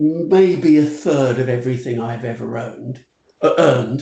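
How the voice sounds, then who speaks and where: The speaker is a man with a British accent. He talks at a fairly slow pace. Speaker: retail futurist. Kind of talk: podcast interview. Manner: animated.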